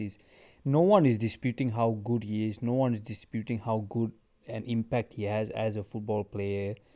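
A man talks in an ordinary speaking voice at a moderate pace, his intonation fairly even. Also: very clean recording, silent background. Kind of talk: casual chat.

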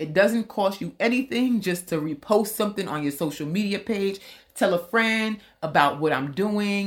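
A woman with an American accent talks at a fairly slow pace, her medium pitch carried by lively intonation. The recording is very clean, with a silent background. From US East Coast. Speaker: podcast host, travel tour operator. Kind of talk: casual solo podcast.

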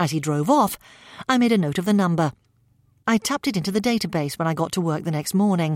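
On a very clean recording with a silent background and a dry, close sound with no echo, a woman speaks in an unremarkable speaking voice of medium pitch with ordinary pitch variation. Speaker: audiobook narrator. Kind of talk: literary audiobook reading, first-person crime narration.

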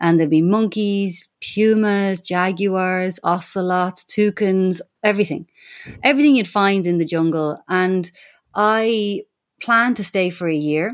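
A woman with a strong Irish accent, at a medium pitch and fairly slow pace with ordinary pitch variation, in a very clean recording with a silent background. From Ireland. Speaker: animal communicator. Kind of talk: interview.

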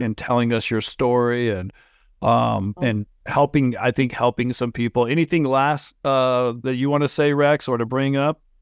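A man speaks in a plain, everyday voice at a medium pitch. His intonation is fairly even. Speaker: podcast host. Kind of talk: casual interview. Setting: video call. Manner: filler-heavy, rambling.

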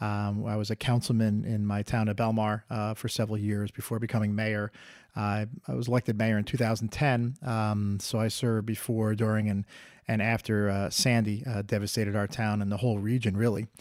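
Over a very clean recording with a silent background, a man speaks with a New Jersey accent. His fairly low voice moves at a fairly quick pace in a flat monotone. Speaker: former public official. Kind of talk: interview. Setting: on location. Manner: halting, many fillers.

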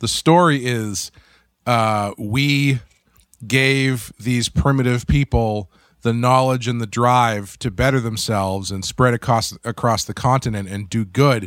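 On a very clean recording with a silent background, a man speaks at medium pitch in an unremarkable speaking voice. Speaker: podcast host. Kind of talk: casual chat.

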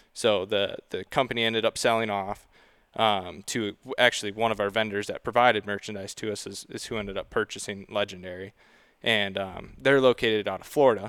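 Speaking at a fairly quick pace, a man has an ordinary speaking voice with fairly low pitch. His intonation is fairly even, and the recording is very clean with a silent background. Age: 20s. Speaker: merchandise manager. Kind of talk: casual chat.

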